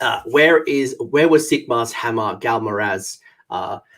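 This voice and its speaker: A man talks at a fairly slow pace. He speaks with an Australian accent. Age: 30s. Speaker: gaming channel host. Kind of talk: live stream trivia game hosting. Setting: live stream. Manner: halting, many fillers.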